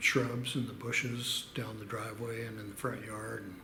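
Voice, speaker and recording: Noticeable background noise behind a man's medium-pitched voice at a moderate pace. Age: old. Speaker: storyteller. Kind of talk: casual storytelling to camera.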